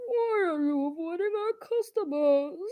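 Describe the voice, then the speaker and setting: In a put-on character voice pitched extremely high, the speaker moves at a moderate pace. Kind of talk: accusatory, stern. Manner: snarky, slightly threatening.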